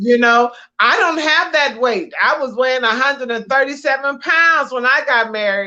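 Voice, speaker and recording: A woman raises and projects her voice at a high pitch. Her tone is bright and sharp. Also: ordinary pitch variation, moderate pace. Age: 60s. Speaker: podcast co-host, minister. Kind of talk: casual chat.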